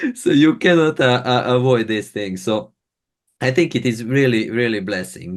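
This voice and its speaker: A medium-pitched man's voice in a non-native accent, with ordinary pitch variation and a quiet background. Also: moderate pace. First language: not English. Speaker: podcast host. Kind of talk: interview podcast. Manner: halting.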